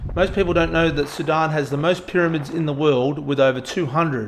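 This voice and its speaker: A man with an Australian accent, fairly high pitch, fairly even intonation and a fairly quick pace. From rural Australia. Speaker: travel vlogger, aviation meteorologist. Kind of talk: travel vlog voiceover.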